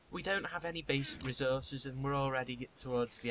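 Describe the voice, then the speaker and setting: A man with a Liverpool accent, medium pitch and a fairly quick pace. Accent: Scouse (Liverpool). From Liverpool, England. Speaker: gaming YouTuber. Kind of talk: casual chat. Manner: animated.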